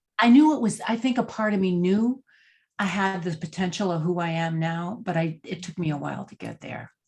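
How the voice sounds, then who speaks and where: With an American accent, a woman talks at a fairly quick pace, her voice somewhat breathy. Her pitch varies in an ordinary way, over a quiet background. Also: medium pitch for a woman. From Texas, San Antonio. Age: 70s. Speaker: executive leadership coach, former actress. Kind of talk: interview conversation.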